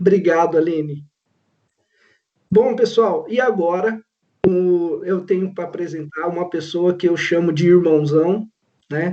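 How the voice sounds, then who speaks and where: A man's high, dark, mellow voice, ordinary pitch variation, fairly slow pace. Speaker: professor and panel moderator. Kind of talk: panel moderation.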